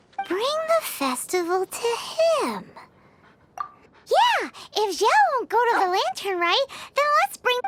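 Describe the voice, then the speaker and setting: In a put-on character voice with an extremely high pitch, the speaker goes at a moderate pace with long, frequent pauses while music plays in the background. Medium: video game. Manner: excitable.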